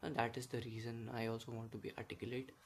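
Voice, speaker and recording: At a fairly quick pace, a man talks in a somewhat breathy voice of medium pitch. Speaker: vlogger. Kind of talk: casual monologue. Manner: halting.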